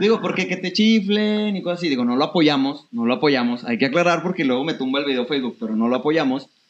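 Fairly high in pitch, a man talks at a very fast pace. He leaves hardly any pauses. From Torreón, northern Mexico. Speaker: podcast host and photographer. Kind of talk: casual interview.

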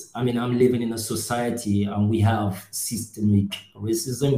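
Speech unfolds at a fairly slow pace, with audible room echo around it. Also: man. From Cameroon. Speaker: NGO worker, podcast co-host. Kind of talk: casual discussion.

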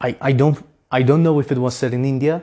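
A man's medium-pitched voice, dark and mellow in tone, at a fairly quick pace with fairly even intonation

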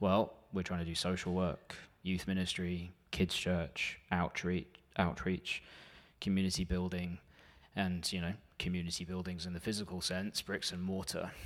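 With a British accent and a very deep, low pitch, a man speaks at a moderate pace in a monotone, flat intonation, in a very clean recording with a silent background. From UK. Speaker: church warden. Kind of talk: church presentation. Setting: church.

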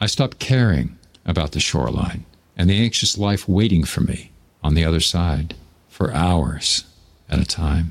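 A man with an American accent speaks at a very deep, low pitch with vocal fry and lively intonation. His pace is moderate, with long, frequent pauses and very even loudness. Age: 70s. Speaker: podcaster. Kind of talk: personal storytelling monologue.

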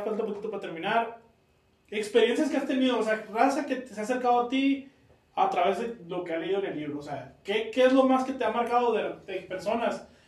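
Audible room echo surrounds a man with a high pitch, speaking at a fairly quick pace with ordinary pitch variation. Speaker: podcast host. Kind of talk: casual interview chat.

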